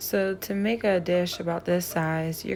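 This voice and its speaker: A woman at a fairly low pitch, a normal speaking voice, fairly even intonation and a fairly slow pace. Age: 60s. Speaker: home cook. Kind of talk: cooking tutorial.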